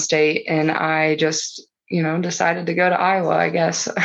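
A woman with a Midwestern US accent. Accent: rural Midwestern US. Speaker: cattle rancher. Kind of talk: casual interview.

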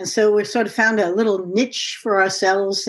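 Against a quiet background, a woman with an ordinary speaking voice talks at a moderate pace. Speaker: corporate anthropologist and business consultant. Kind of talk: casual interview conversation.

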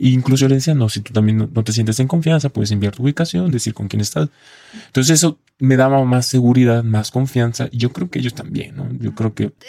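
A plain, everyday voice from a man at medium pitch, with ordinary pitch variation, at a fairly quick pace, in a dry, close sound with no echo. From Mexico, Colima. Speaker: male sex worker. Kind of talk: interview testimony. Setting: studio.

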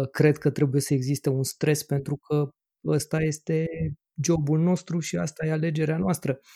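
The voice has a dark, mellow tone and is somewhat breathy, with fairly even intonation. It moves at a moderate pace in a dry, close sound with no echo. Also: man, fairly high pitch for a man. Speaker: podcast host and radiologist. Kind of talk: casual chat.

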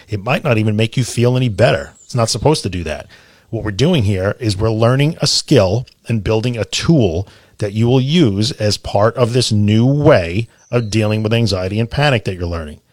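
A man with a plain, everyday voice speaks at a moderate pace and medium pitch with ordinary pitch variation, in a very clean recording with a silent background. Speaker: podcast host guiding a relaxation exercise. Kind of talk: guided meditation, relaxation tutorial. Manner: instructional, with pauses and repetition.

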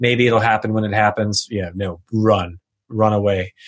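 Against a quiet background, a man with an unremarkable speaking voice talks at a moderate pace and a fairly low pitch. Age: 30s. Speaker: entrepreneur. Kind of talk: interview.

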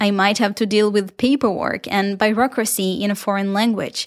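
In a very clean recording with a silent background, a woman with an Israeli accent speaks in a fairly high, monotone, flat voice. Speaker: podcast host and professional dancer. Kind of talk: solo podcast monologue, partly reading a blog post. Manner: warm, conversational, friendly.

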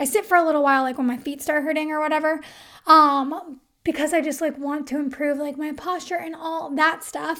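In a raised, projected voice, a woman speaks at a fairly quick pace with a high pitch, a bright, sharp tone and fairly even intonation. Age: 30s. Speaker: podcast host, copywriter. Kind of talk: solo podcast tutorial. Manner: casual, filler-heavy.

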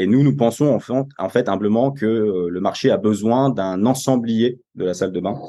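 Here is a man with an ordinary speaking voice at a medium pitch. He talks at a fairly slow pace with ordinary pitch variation. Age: 20s. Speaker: business executive. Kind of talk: interview.

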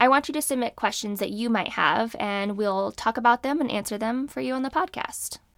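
In an American accent, a normal speaking voice moves at a fairly quick pace with hardly any pauses and ordinary pitch variation. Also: woman, fairly high pitch for a woman. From California. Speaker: physician and podcast host. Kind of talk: solo podcast monologue on medicine.

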